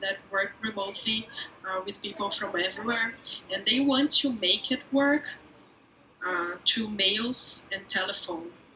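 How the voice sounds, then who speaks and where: Over music in the background, a woman with a Portuguese accent speaks at a fairly high pitch and fairly slow pace with ordinary pitch variation. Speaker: agile coach, remote teams expert. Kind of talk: talk show interview.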